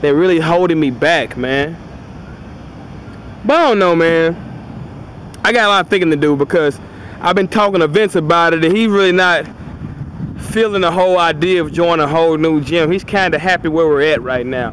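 At a moderate pace with long, frequent pauses, a man speaks in a high pitch with ordinary pitch variation, in a dry sound with no echo and light background noise. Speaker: vlogger touring a gym. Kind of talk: casual vlog chat. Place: street. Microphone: phone near.

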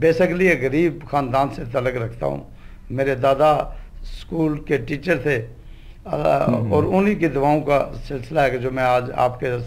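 The man has a fairly high pitch with ordinary pitch variation and speaks at a very slow pace. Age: 50s. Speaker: politician and dialysis centre head; talk show guest. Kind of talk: TV interview; interview answer. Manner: halting. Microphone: handheld.

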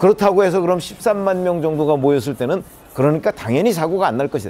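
The speaker is a man. His tone is dark and mellow. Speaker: panel commentator. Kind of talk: TV panel discussion. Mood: serious, measured. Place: studio. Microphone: lapel.

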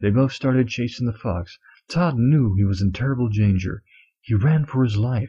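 Against a quiet background, someone reads aloud plainly with ordinary pitch variation.

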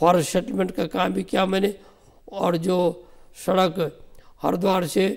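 Fairly slow delivery with long, frequent pauses and fairly even intonation, over a quiet background. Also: man, high pitch for a man. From Uttarakhand, Garhwal (Tehri Garhwal); Uttarakhand. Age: 70s. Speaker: retired civil servant; guest. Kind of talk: interview. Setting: studio. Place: studio. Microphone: lapel.

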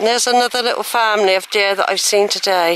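A woman talks at a fast pace with a fairly bright tone and ordinary pitch variation. The sound is dry and close with no echo, and there is faint background noise. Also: medium pitch for a woman.

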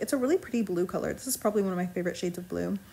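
Her voice is somewhat breathy. The woman's intonation is lively. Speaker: journaling YouTuber. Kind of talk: casual voiceover. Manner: fast; chatty.

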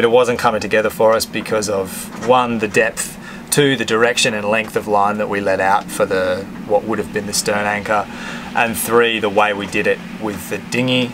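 Noticeable background noise sits behind a man speaking at a moderate pace. His intonation is fairly even. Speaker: sailing vlogger. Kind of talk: tutorial. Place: boat. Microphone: phone near.

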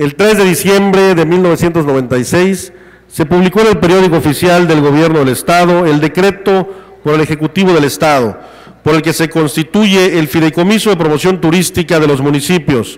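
With noticeable background noise behind him, a man talks at a moderate pace and very even loudness, his fairly high pitch showing ordinary variation. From Quintana Roo, Mexico (Felipe Carrillo Puerto). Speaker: legislature president. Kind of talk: chairing a parliamentary session. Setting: legislative chamber.

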